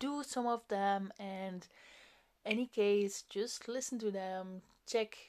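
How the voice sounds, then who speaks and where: This is a woman with a non-native accent. The background is quiet. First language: not English. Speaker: podcast host. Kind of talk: solo monologue, self-help talk. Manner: casual, hesitant with fillers.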